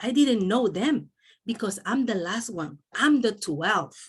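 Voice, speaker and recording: In a Spanish accent, a woman speaks at a medium pitch and a fairly slow pace, somewhat breathy, with very wide pitch swings. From El Salvador. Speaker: doctor and network marketing speaker. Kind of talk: motivational talk.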